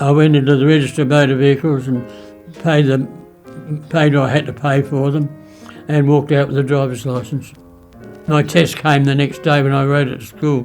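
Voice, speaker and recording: With music in the background, a man with an Australian accent talks at a fairly quick pace in a fairly high pitch, flat and monotone, with long, frequent pauses. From South Australia. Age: 80s+. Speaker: WWII veteran. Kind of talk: interview answer.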